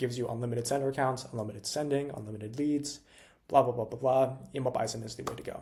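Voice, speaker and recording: A man talks in a somewhat breathy voice, its pitch varying in an ordinary way. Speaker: cold email agency founder, tech entrepreneur. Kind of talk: freestyle tutorial to camera. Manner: fast; high energy, animated.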